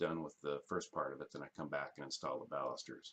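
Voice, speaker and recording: A man mumbling at a moderate pace. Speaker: carpenter. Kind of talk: casual screen-capture walkthrough for clients.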